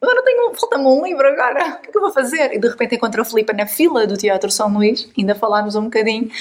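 Over noticeable background noise, the speaker rushes along very fast with lively intonation and hardly any pauses. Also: woman, high pitch for a woman. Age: 40s. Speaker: podcast host and writer. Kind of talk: casual chat.

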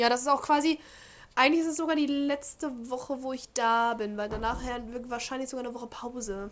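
A woman talks at a moderate pace with fairly even intonation. Her pitch is high. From Germany. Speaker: podcast co-host. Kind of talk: casual chat.

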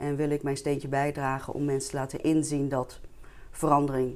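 Vocal fry runs through this woman's voice. Her pitch is very deep and low. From Netherlands, Diemen near Amsterdam. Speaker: entrepreneur and vitality coach. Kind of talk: interview. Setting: studio.

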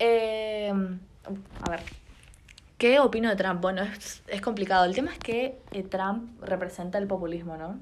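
A woman with an Argentine accent talks at a fairly slow pace with long, frequent pauses, and the room echo is audible. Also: medium pitch for a woman, ordinary pitch variation. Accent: Rioplatense Argentine Spanish. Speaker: podcast co-host. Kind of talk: casual chat.

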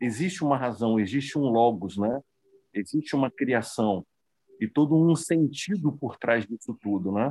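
Over a silent background, a man talks fairly slowly with lively intonation in a very clean, dry, close recording with no echo. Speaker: study group participant. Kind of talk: group study discussion. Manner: halting, many fillers. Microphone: voice cutting out at times.

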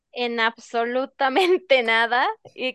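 Her voice is bright and sharp, fairly high for a woman, recorded dry and close with no echo. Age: young. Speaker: radio sports panelist. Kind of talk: sports talk radio.

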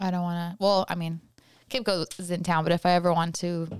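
Mumbling at a fairly quick pace, a woman with an American accent has an animated tone and a fairly low pitch. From California. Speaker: podcast guest and coworker. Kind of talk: casual interview chat. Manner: fast talker, mumbles; animated, laughs often.

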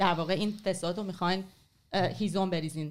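A woman speaks in a plain, everyday voice at medium pitch with fairly even intonation. The recording is very clean, with a silent background. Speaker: writer and former journalist. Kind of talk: casual interview on history.

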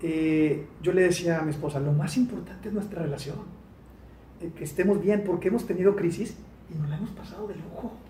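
There is audible room echo as a man with a high pitch talks at a moderate pace, using ordinary pitch variation. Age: 40s. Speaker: sales expert and author. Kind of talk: interview.

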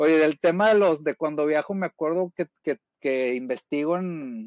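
A man at a moderate pace. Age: 40s. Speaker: masters CrossFit athlete. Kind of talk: casual chat.

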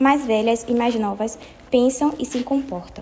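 Over noticeable background noise, a woman talks fairly slowly. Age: 20s. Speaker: apprentice worker. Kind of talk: prepared talk read aloud.

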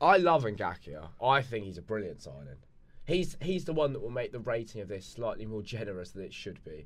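Fairly quick speech with vocal fry jumps through very wide pitch swings and big swings in loudness. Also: man, medium pitch for a man. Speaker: podcast co-host. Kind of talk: casual chat. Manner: opinionated, passionate.

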